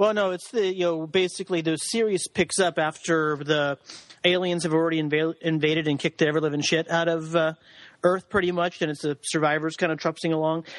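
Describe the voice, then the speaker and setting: Heard here is a man with a plain, everyday voice, pitched fairly high. He talks at a fairly quick pace with fairly even intonation. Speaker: guest. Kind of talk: casual chat.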